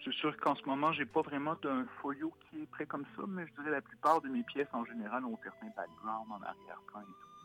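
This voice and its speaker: Over noticeable background noise, a man with a Quebec accent talks at a fairly quick pace and a fairly high pitch, with very wide pitch swings, big swings in loudness and hardly any pauses. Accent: Québécois. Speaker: illustrator. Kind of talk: interview. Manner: hesitant, many fillers.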